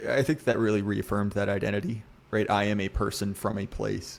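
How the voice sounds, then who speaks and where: At a moderate pace, a man talks in a fairly low pitch with an American accent. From US South, Virginia. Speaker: podcast guest, literary commentator. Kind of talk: casual podcast discussion.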